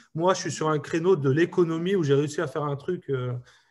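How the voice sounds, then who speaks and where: At a medium speed, a man's fairly high-pitched voice carries the words. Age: 30s. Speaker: startup CEO, entrepreneur. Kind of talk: interview. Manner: hesitant, many fillers.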